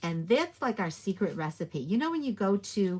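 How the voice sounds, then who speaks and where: A woman's voice, very clean recording, silent background. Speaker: paper crafter and stamp demonstrator. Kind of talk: live craft tutorial. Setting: livestream. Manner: quiet; casual, with fillers.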